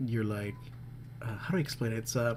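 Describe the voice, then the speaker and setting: A man speaks here. His tone is dark and mellow, and somewhat breathy. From Peru (Lima). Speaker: illustrator and graphic designer. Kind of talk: narrated drawing tutorial. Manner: hesitant, many fillers; casual, rambling.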